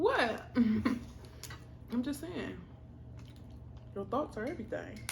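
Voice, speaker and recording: Amid noticeable background noise and audible room echo, a woman speaks very slowly in a relaxed tone. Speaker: food vlogger. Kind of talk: mukbang casual chat. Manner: relaxed, speaking while eating.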